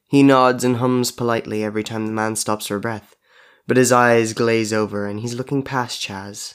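The intonation holds fairly even. The speaker is reading aloud in a natural voice.

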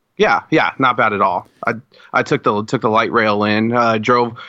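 A man with an American accent speaks at a fairly quick pace. He has an unremarkable speaking voice with medium pitch and fairly even intonation. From Colorado. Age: 20s. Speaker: metal fan, podcast listener. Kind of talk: casual chat. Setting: video call.

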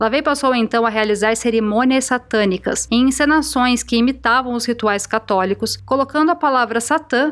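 In a very clean recording with a silent background, a woman speaks in a normal speaking voice at a fairly high pitch, with ordinary pitch variation and a moderate pace. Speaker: podcast host and narrator. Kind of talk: scripted storytelling narration.

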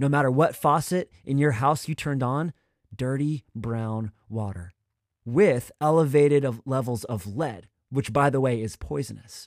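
A man's normal speaking voice at a fairly slow pace, with a dry, close sound and no echo. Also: medium pitch for a man, ordinary pitch variation. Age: 20s. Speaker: youth pastor. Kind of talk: sermon.

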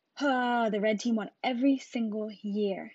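A somewhat breathy woman's voice, fairly high in pitch, at a fairly slow pace. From Jamaica, Westmoreland parish. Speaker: podcast host. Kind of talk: casual monologue. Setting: solo podcast recording.

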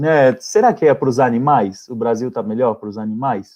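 A man talks at a moderate pace with a dark, mellow tone and a medium pitch. His intonation stays fairly even against a quiet background. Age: 30s. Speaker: socio-environmental activist. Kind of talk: live stream conversation. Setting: online live stream.

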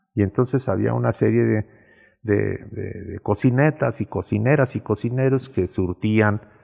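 Over a quiet background, a man with fairly low pitch and vocal fry speaks at a fairly slow pace. His intonation is lively, and the sound is dry and close with no echo. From Mexico, León, Guanajuato. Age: 70s. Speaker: local elder and storyteller. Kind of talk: reminiscing interview.

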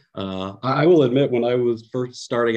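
A man with a Californian accent. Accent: Californian American. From US, San Francisco Bay Area. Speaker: English teacher. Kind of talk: casual educational chat.

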